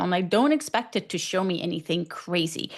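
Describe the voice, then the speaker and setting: A woman with an ordinary speaking voice and an American accent talks at a fairly quick pace. Her intonation is lively. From US West, Northern California. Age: 40s. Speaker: physician, menopause specialist. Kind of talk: podcast interview. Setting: podcast interview.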